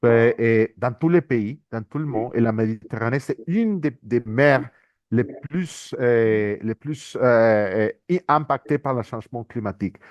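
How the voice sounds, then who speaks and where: A man with a medium pitch and ordinary pitch variation speaks very slowly. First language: not French (speaking French). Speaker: international organisation economist, speaker. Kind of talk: conference presentation. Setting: workshop with audience. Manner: halting, many repetitions and hesitations.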